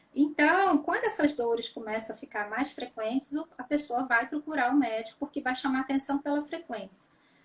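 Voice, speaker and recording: Speaking at a moderate pace with hardly any pauses, a woman uses a high pitch with ordinary pitch variation. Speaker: neurologist. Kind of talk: interview.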